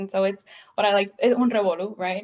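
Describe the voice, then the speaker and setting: This woman has a Spanish accent and a fairly high pitch. Her intonation stays fairly even. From Puerto Rico. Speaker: doctoral student, audience member. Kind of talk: panel Q&A comment. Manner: halting, many fillers.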